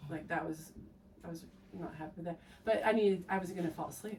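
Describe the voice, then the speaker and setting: A woman with an American accent talks at a fairly quick pace. Her voice is fairly low in pitch, somewhat breathy and fairly even in intonation. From United States. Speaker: endurance athlete. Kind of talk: casual chat. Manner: halting.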